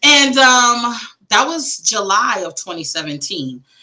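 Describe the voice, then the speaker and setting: With an American accent, a woman sounds animated as her pitch swings very widely. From Wisconsin, US Midwest. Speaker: grief coach and author. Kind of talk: interview conversation. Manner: loud.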